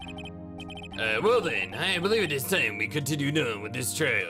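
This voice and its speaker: A man puts on a character voice at a medium pitch and a moderate pace. Loud music plays in the background. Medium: game stream. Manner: hesitant, stammering.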